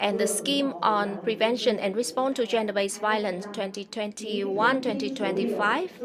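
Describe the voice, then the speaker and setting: A woman's fairly high voice at a moderate pace, hardly any pauses, ordinary pitch variation, audible room echo and noticeable background noise. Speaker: government official. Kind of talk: formal opening speech. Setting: conference. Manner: formal.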